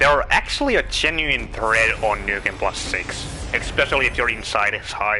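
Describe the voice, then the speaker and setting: A man with a Finnish accent at a moderate pace, over noticeable background noise. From Finland. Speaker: video game streamer. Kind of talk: live gameplay commentary.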